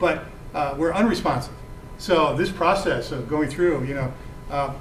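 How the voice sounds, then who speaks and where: An American-accented man speaks at a fairly quick pace. Noticeable background noise and audible room echo fill the recording. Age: 60s. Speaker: author and veteran. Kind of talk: lecture Q&A. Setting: talk to a book club audience. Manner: halting, many fillers and repetitions; passionate, indignant.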